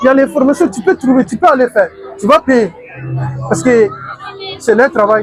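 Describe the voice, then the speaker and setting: Against crowd noise in the background, a man with an extremely high pitch speaks at a moderate pace with lively intonation and long, frequent pauses. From Burkina Faso, raised largely in Italy. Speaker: aspiring actor and comedy video maker. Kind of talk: interview. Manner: halting.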